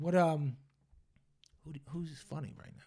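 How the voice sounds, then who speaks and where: A man with a fairly high voice, dark and mellow in tone and somewhat breathy. The recording is very clean, with total silence behind him. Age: 30s. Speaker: podcast host. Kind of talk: casual chat. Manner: profane, casual.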